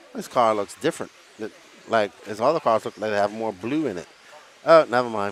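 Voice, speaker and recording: A man talks fairly quickly with lively intonation while noticeable background noise runs beneath him. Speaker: RC race commentator. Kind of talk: live commentary. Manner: animated.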